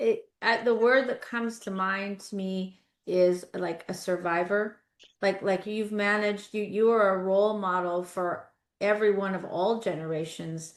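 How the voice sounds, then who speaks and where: A woman with a plain, everyday voice speaks at a fairly slow pace in a medium pitch. Her intonation is fairly even, and the background is quiet. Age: 60s. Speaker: guest podcast host. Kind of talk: casual interview conversation.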